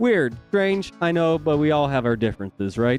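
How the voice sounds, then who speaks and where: A man speaks over music playing in the background. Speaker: music reviewer. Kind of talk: album review to camera.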